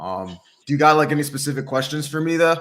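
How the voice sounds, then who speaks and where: With an unremarkable speaking voice, this man talks at a fairly quick pace and a fairly high pitch. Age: 30s. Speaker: fitness and dating coach. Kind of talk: casual chat. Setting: livestream.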